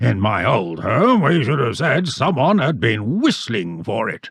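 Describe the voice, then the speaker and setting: Putting on a raspy character voice, a man speaks fairly slowly at a medium pitch with very wide pitch swings. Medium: read story. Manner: blunt, hearty.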